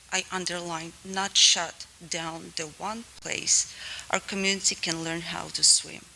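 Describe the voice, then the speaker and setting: With a non-native accent, a woman speaks at a very slow pace over noticeable background noise. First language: not English. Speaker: community member at public comment. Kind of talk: public comment speech. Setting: school board public meeting.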